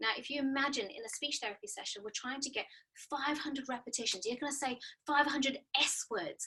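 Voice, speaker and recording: With an Australian accent, a woman talks at a fairly quick pace in a raised, projected voice, high-pitched and bright and sharp, with lively intonation. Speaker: speech pathologist. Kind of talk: webinar presentation. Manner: fast.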